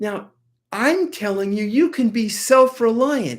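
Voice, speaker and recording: Pitch swings very widely as a woman talks at a very slow pace. The recording is very clean, with a silent background. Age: 70s. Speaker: acupressure teacher. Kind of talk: tutorial. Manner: animated.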